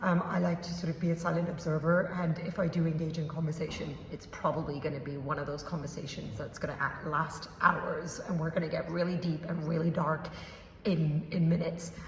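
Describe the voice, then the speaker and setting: A fairly low-pitched woman's voice, fairly quick and monotone, flat in intonation, amid noticeable background noise. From Hong Kong. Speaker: podcaster. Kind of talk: casual talk to camera.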